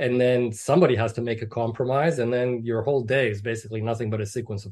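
Against a quiet background, a somewhat breathy man speaks at a very fast pace with ordinary pitch variation. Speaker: meditation practitioner. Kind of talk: casual chat; spiritual talk.

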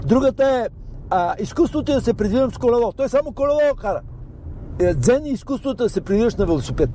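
Speaking at a very fast pace, a man uses an extremely high pitch with lively intonation. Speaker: storyteller guest. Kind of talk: casual chat. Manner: animated.

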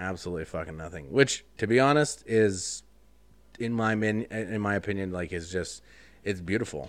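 A man with a fairly low pitch and ordinary pitch variation speaks at a moderate pace in an ordinary speaking voice, on a very clean recording with a silent background. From Wyoming, US. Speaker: podcast guest. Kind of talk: casual chat.

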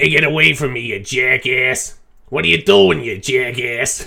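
This is a man doing a put-on character voice at a medium pitch. He moves at a moderate pace with ordinary pitch variation. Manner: aggressive, angry.

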